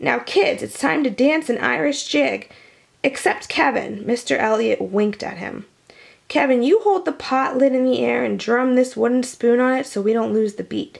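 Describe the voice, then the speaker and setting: A woman uses a raspy put-on character voice at a high pitch. She speaks at a moderate pace. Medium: read story.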